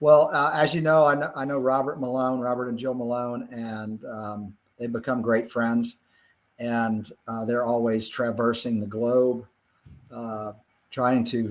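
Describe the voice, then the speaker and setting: In a Virginia accent, a man talks at a fairly slow pace with fairly even intonation. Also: medium pitch for a man. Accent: US Southern (Virginia). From Virginia, rural Blue Ridge foothills. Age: 60s. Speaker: physician and cattle farmer. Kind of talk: interview. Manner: halting, many fillers.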